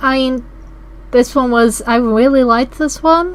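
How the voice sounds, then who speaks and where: A woman talks in a high pitch. Noticeable background noise is present. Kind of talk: casual podcast discussion.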